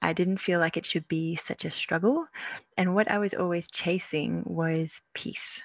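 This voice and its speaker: The speaker is a woman with an Australian accent. Her voice sits fairly low. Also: dry, close sound with no echo. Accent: Australian-sounding. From South Africa. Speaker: naturopath and herbalist. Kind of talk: webinar presentation. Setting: video call webinar.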